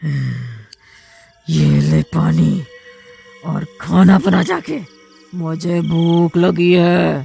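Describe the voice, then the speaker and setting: The speaker uses a cartoonish character voice at a very slow pace. Faint music plays in the background. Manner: menacing, crude.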